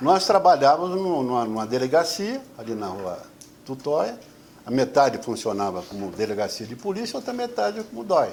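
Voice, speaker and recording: A man's fairly high voice at a moderate pace, with very wide pitch swings and big swings in loudness. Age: 70s. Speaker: retired army officer. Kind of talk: testimony. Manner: halting, repeats words.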